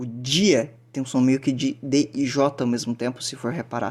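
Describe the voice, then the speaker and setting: Speaking at a fairly slow pace, a man has an unremarkable speaking voice of medium pitch. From southern Brazil. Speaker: language teacher. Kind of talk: lecture. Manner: casual, filler-heavy.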